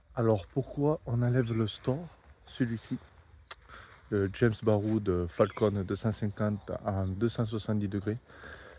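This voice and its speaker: A man talks at a moderate pace in a dark, mellow tone. His pitch is fairly low and his intonation fairly even. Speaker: travel vlogger. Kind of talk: casual vlog narration. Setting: outdoors, in a small courtyard. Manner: soft-spoken, speaking quietly.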